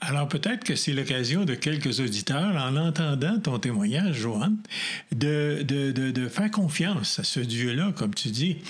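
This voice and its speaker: A man uses a normal speaking voice with a fairly high pitch. His intonation is lively and his loudness very even. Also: fairly slow pace. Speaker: pastor and radio host. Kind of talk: interview.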